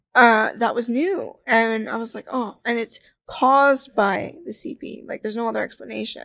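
On a very clean recording with a silent background, a woman with an unremarkable speaking voice talks at a moderate pace with hardly any pauses, a fairly high pitch, ordinary pitch variation and big swings in loudness. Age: 20s. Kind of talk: casual interview.

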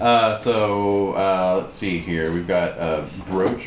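A man's voice over noticeable background noise. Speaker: game master. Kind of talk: tabletop roleplaying game session, narrating and running the game.

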